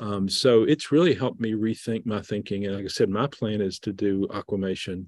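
A man with a Southern US accent talks fairly quickly with hardly any pauses, at a fairly low pitch and with ordinary pitch variation. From US South, southeast Missouri. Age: middle-aged. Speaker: Episcopal bishop. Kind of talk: casual chat.

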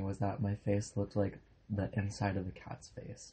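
A man speaks at a moderate pace in a fairly low, somewhat breathy voice. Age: young. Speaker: college student podcast co-host. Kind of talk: casual chat.

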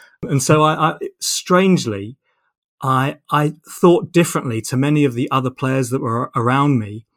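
A man with a southern English accent speaks at a fairly high pitch and a moderate pace, with ordinary pitch variation. The recording is very clean and dry, close with no echo, with a silent background. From southern England (Portsmouth). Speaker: sport sociology professor, former footballer. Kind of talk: interview conversation. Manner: halting, many repetitions.

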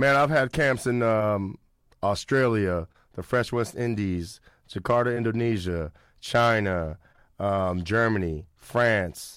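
In a very clean recording with a silent background, a man with an American accent and a fairly low pitch speaks at a very slow pace with ordinary pitch variation. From Sacramento, California. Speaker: basketball skills trainer. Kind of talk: casual interview chat.

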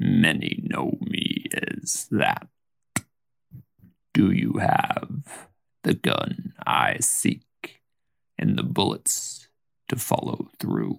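A man speaks very slowly, with long and frequent pauses. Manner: bitter, grave, menacing.

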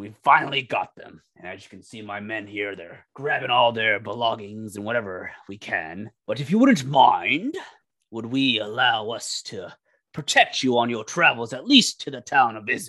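A man's put-on character voice against a quiet background. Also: medium pitch for a man, moderate pace. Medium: actual play. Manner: authoritative, courteous.

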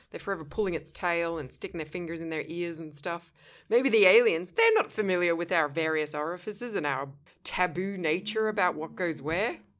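With a plain, everyday voice, a woman speaks at a fairly quick pace and fairly low pitch with ordinary pitch variation, on a very clean recording with a silent background. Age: adult. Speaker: podcast co-host. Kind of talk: casual chat.

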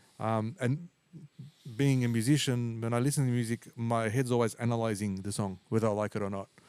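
At a fairly quick pace, a man talks in an ordinary speaking voice with a medium pitch and fairly even intonation. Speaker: podcast host and musician. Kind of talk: casual interview chat.

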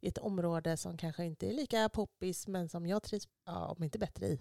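Recorded very cleanly against a silent background, with a dry, close sound and no echo, a woman speaks at a fairly low pitch in an ordinary speaking voice with ordinary pitch variation. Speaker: podcast host. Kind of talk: casual chat.

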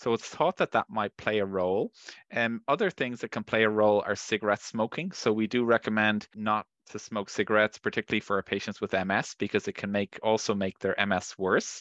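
In an Irish accent, a man talks at a fairly quick pace with fairly low pitch and fairly even intonation, recorded dry and close with no echo over a quiet background. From Ireland. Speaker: neurologist. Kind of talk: medical interview.

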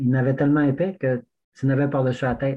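With a somewhat breathy, fairly high voice, a man talks at a moderate pace. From Quebec, Témiscouata region. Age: 60s. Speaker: backcountry skier. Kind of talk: casual chat.

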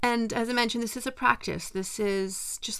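A woman with a Canadian accent speaks in an ordinary speaking voice at a fairly quick pace, with ordinary pitch variation. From western Canada. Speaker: meditation podcast host. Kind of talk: mindfulness talk; guided meditation. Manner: gentle, calm.

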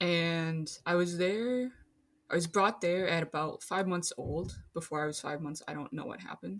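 A woman speaks in a plain, everyday voice at a moderate pace. Her pitch is fairly low, with ordinary variation. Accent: American. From Minnesota. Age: 20s. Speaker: architecture worker. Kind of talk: casual chat.

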